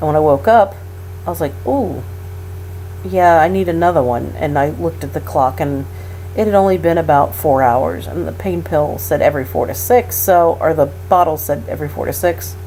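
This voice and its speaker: Noticeable background noise sits behind a woman whose very deep, low voice makes very wide pitch swings at a moderate pace. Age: 30s. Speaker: patient recovering from hysterectomy. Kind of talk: casual talk to camera.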